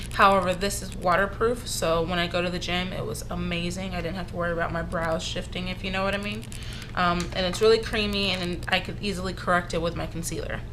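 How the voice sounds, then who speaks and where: Audible room echo and noticeable background noise are present. A woman talks fairly quickly through them. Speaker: beauty vlogger. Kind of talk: casual product review. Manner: halting, many fillers.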